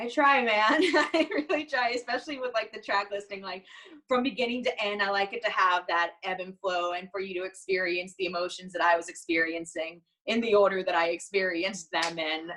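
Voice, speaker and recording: At a fairly quick pace, a woman talks in an animated way, her tone bright and sharp and her intonation lively. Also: medium pitch for a woman. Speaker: singer in a band. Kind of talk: casual interview chat. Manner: fast.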